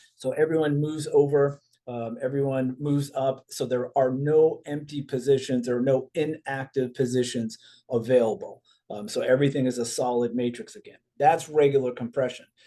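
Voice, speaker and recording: A man speaks in a dark, mellow tone with fairly even intonation. His loudness swings widely. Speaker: network marketing presenter. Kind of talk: recorded business presentation. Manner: fast.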